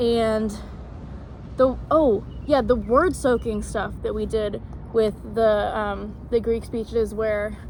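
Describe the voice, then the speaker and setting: Speaking at a very slow pace with long, frequent pauses, a woman comes through over noticeable background noise and audible room echo. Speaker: acting student. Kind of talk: reflection vlog. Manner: casual, hesitant with many fillers.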